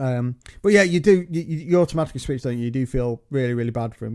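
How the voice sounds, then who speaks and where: In a Staffordshire accent, a man talks very fast at a medium pitch with lively intonation, recorded with a dry, close sound and no echo. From England, Staffordshire. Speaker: podcast co-host, father. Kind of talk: casual chat. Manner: halting, many false starts.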